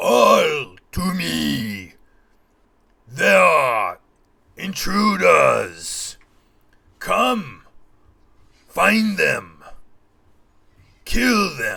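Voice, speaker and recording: Shouting and bellowing in a raspy, put-on character voice, a man talks at a very slow pace with long, frequent pauses. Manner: bellowing, yelling.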